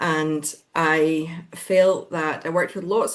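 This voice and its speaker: A woman with a Glaswegian accent and fairly even intonation. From Scotland, Glasgow. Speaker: business founder. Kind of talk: podcast interview. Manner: hesitant fillers.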